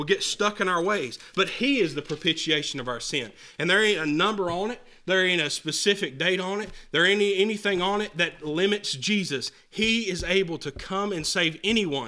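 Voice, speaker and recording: Projecting a raised voice at a moderate pace, a man speaks in a high pitch with a bright, sharp tone and ordinary pitch variation. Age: 20s. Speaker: pastor. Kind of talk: sermon. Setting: church.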